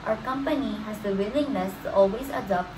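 A fairly high-pitched woman's voice at a fairly quick pace, with ordinary pitch variation and noticeable background noise. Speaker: student presenter. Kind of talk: class presentation.

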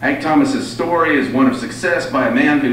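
A man is speaking with audible room echo. Light background noise is present. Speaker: event host introducing the guest speaker. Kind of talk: formal speaker introduction. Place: hall.

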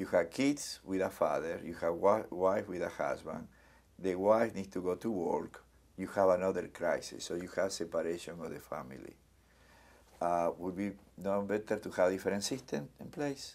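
At a moderate pace, a man speaks with a very deep, low pitch and ordinary pitch variation. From Argentina. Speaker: community center executive director. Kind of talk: oral history interview answer. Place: studio.

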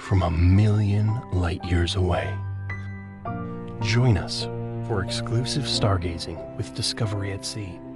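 A man with an American accent speaks at a very slow pace in a dry sound with no echo, over loud background music. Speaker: voice actor. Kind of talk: TV commercial read. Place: studio. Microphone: studio mic.

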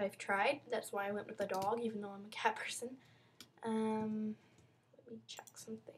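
Somewhat breathy and fairly high-pitched, a woman speaks at a moderate pace with monotone, flat intonation. Her speech has long, frequent pauses. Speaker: YouTuber showing her game server. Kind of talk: video game walkthrough. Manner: halting, many fillers; casual.

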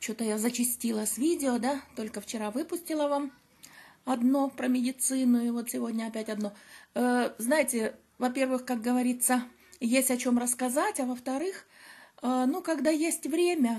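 A woman with a high pitch and a dark, mellow tone speaks at a moderate pace. She uses ordinary pitch variation and long, frequent pauses. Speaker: vlogger. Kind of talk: casual vlog chat. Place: beach. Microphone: phone near.

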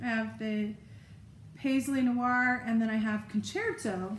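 A woman's fairly high voice with audible room echo and light background noise. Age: 50s. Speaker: lifestyle video creator. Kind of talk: casual show-and-tell tutorial. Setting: home video recording. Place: home room. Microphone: phone near.

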